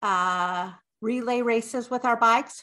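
A woman speaks with an American accent in a fairly high pitch, her bright, sharp tone carried on fairly even intonation against a quiet background. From Utah, Draper. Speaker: podcast co-host. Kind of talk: casual chat.

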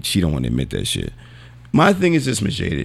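The voice carries an animated tone with vocal fry. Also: man. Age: 40s. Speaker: podcast host. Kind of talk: casual banter podcast. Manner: animated, profane.

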